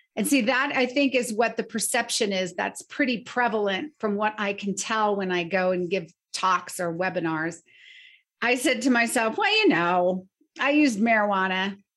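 Against a quiet background, a woman with an unremarkable speaking voice talks at a moderate pace with lively intonation. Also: fairly high pitch for a woman. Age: 50s. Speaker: nonprofit founder and bereaved mother. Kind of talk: interview.

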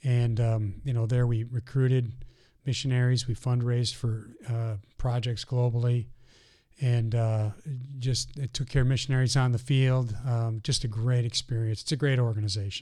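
A man's medium-pitched, somewhat breathy voice with a dark, mellow tone, monotone, flat intonation and a moderate pace, in a very clean recording with a silent background. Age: 50s. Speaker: mission organization president. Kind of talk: interview conversation. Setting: studio.

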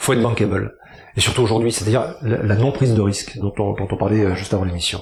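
The speech comes at a very fast pace with fairly even intonation over noticeable background noise. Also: man, fairly low pitch for a man. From southern France, Toulon. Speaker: actor and singer. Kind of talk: casual chat.

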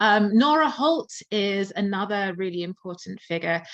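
A woman with a southern English accent speaks at a moderate pace and medium pitch over a quiet background. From England, Surrey near London. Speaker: musicologist and concert pianist. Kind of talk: interview.

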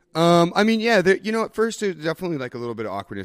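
Very fast talk from a man with an American accent, very wide pitch swings, and a dry, close sound with no echo. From Idaho, US (Boise). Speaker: brewery owner. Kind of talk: casual interview.

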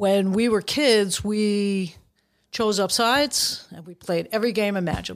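Here a woman speaks with a New York accent at a medium pitch. Her intonation is fairly even, in a very clean recording with a silent background. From Brooklyn, New York. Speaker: referee assigner. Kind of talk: casual chat.

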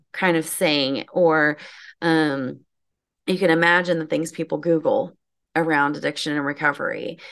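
A woman speaks at a moderate pace in a plain, everyday voice, pitched fairly low with ordinary pitch variation. The background is quiet. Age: 40s. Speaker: marketing agency owner. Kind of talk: casual chat.

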